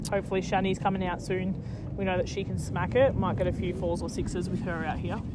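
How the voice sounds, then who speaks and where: A woman with an Australian accent speaks at a very fast pace in an upbeat tone. Noticeable background noise is present. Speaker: cricket commentator podcast host. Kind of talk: sports commentary, relaxed and informative. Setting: outdoors at a cricket ground. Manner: upbeat, knowledgeable, jokey.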